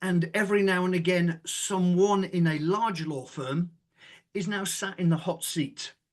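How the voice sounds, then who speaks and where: A man with a British accent talks at a fairly slow pace. His pitch is high, with ordinary variation. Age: 60s. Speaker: former law firm managing partner and author. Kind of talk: casual podcast interview. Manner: animated.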